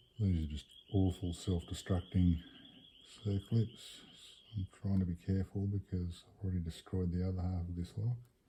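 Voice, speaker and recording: Mumbling at a moderate pace, a man speaks in a very deep, low voice with a dark, mellow, somewhat breathy tone and monotone, flat intonation. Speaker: lock picker. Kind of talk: casual tutorial commentary.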